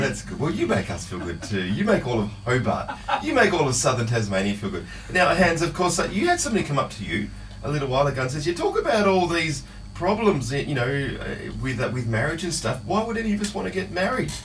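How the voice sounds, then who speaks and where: Over noticeable background noise, a man talks at a very fast pace with a fairly high pitch and very wide pitch swings. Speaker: radio host. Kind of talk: radio show hosting.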